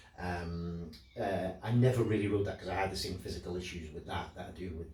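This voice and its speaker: A man's very deep, low voice in a Scottish accent, fairly quick and fairly even in intonation, with audible room echo and noticeable background noise. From Scotland. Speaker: motorcycle owner selling his bike. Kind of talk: casual vlog monologue. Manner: halting, many repetitions and fillers.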